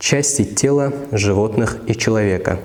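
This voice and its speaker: Intonation stays fairly even as a man talks in a fairly low voice. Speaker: word-list narrator. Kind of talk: educational vocabulary list reading. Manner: slow, clear.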